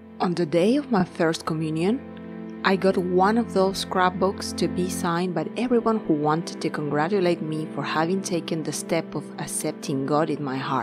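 Over music in the background, a woman speaks at a fairly low pitch and a moderate pace. Her intonation is lively, with hardly any pauses. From Peru. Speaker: writer. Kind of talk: personal digital story narration.

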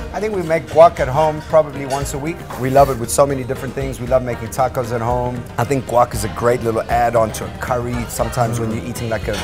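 Clear music plays behind a man who talks at a very fast pace with hardly any pauses and ordinary pitch variation. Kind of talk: interview answer. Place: cafe. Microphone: lapel.

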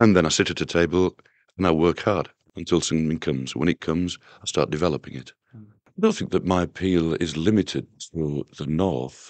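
In a Yorkshire accent, a man speaks with a very deep, low pitch, the sound dry with no echo and the background quiet. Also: ordinary pitch variation, fairly quick pace. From northern England. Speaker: singer-songwriter. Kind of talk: interview answer. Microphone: old recording.

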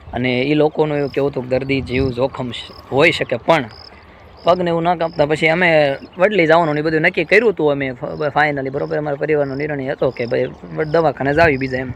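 Over noticeable background noise, a man talks with fairly high pitch and ordinary pitch variation. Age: 20s. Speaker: vlogger. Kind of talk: personal vlog testimony.

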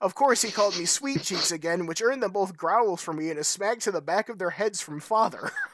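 An unforced reading voice rises and falls with lively intonation.

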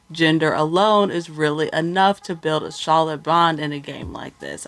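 A woman speaks in an ordinary speaking voice, fairly low in pitch, with fairly even intonation at a moderate pace. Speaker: TV show recap vlogger. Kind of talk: commentary. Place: home room. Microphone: studio mic.

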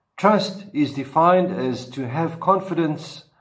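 Over a quiet background, a somewhat breathy man talks with very wide pitch swings. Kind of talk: sermon. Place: home room. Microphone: webcam.

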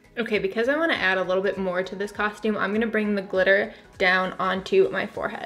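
A woman talking at a fairly quick pace with ordinary pitch variation, faint music in the background. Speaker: beauty vlogger. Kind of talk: tutorial. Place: home room.

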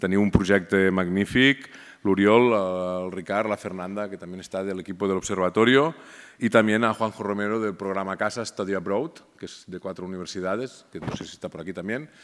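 At a fairly quick pace and a fairly low pitch, a man with a plain, everyday voice and ordinary pitch variation speaks with big swings in loudness over a quiet background. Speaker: research institute director. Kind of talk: formal speech. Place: hall. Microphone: podium.

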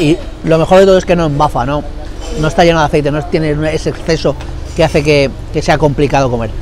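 A man speaks at a very fast pace, the sound dry with no echo and light background noise. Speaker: food vlogger. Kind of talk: casual food review vlog. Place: street. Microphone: lapel.

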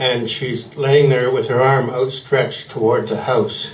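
A man talks at a fairly slow pace with a fairly high pitch. Audible room echo fills the recording. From Canada. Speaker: poet. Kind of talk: casual introduction to a poem before a live audience. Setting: live reading event, microphone. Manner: hesitant, conversational. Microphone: handheld.

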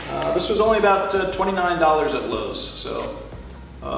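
Audible room echo surrounds this man's speech. Behind him, music is playing. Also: moderate pace. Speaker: product reviewer. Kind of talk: casual product review chat. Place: garage.

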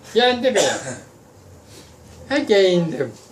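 Noticeable background noise accompanies a man talking at a very slow pace. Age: 80s+. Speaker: former wrestler. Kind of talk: storytelling to family. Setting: outdoors.

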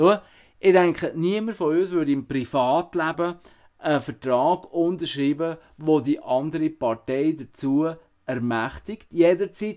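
Over a quiet background, a man talks with fairly high pitch. His pace is fairly slow and his pitch varies in an ordinary way. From Switzerland, Emmental (Canton Bern); Canton Bern, Switzerland. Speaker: musician and political candidate. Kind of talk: campaign statement. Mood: earnest, persuasive. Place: home room. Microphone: webcam.

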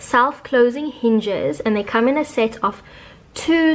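Ordinary pitch variation marks the way this woman talks. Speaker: home decor vlogger. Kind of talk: tutorial. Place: home room.

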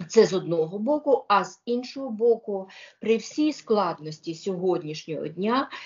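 The background stays quiet as a woman's voice rises and falls in a lively way. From Ukraine. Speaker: lawyer. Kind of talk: interview. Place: home room. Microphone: video call.

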